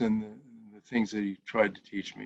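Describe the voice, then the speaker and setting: The voice has an American accent. Its pitch swings very widely. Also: man. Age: 70s. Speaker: stage actor. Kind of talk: interview. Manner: halting, many fillers and restarts.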